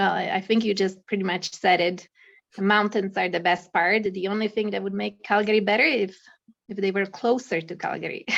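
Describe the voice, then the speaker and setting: A woman with a Czech accent speaks at a medium pitch with fairly even intonation. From Czech Republic. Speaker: accountant and mountaineer. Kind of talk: casual interview.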